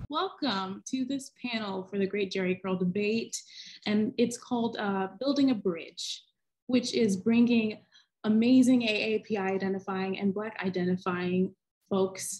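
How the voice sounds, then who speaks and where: The somewhat breathy voice moves at a fairly slow pace against a quiet background. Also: woman, ordinary pitch variation. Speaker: panel moderator. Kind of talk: panel introduction. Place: home room. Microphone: video call.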